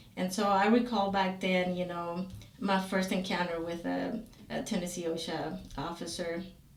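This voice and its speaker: A woman talks with a Spanish accent and fairly even intonation. Noticeable background noise and audible room echo are present. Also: medium pitch for a woman, moderate pace. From Guatemala. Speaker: safety consultant. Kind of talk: interview. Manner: hesitant, many fillers.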